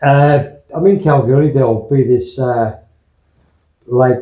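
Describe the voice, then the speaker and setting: Somewhat breathy, a man with an Australian accent talks with ordinary pitch variation. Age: 60s. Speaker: adventure motorcycle vlogger. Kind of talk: casual video diary. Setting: motel room. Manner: halting, many fillers.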